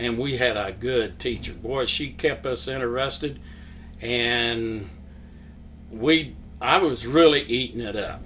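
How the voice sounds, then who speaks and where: This man's voice sits at a medium pitch, with lively intonation and a fairly slow pace. He leaves long, frequent pauses, and the room echo is audible. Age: 70s. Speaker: church member, Sunday school teacher. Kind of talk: testimony. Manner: halting.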